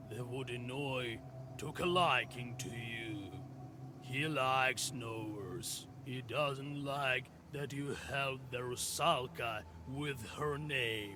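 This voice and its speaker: A man puts on a character voice at medium pitch. He goes at a very slow pace over clear background noise. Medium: solo performance.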